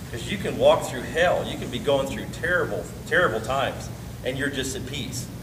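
Noticeable background noise runs beneath a man who speaks at a fairly quick pace. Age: 50s. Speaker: pastor. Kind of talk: bible study teaching. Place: meeting room. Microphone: camera far.

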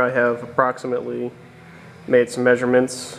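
A man is speaking. Music plays in the background. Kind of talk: tutorial. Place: workshop. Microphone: phone near.

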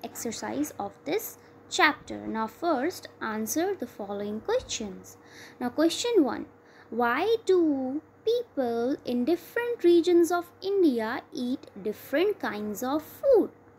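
A high-pitched woman at a very slow pace, with very wide pitch swings. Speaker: school teacher. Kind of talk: lecture. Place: home room.

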